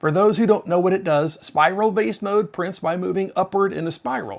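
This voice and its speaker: An American accent comes through. The speaker is a man. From United States. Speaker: 3D printing YouTuber. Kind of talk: tutorial. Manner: casual, conversational.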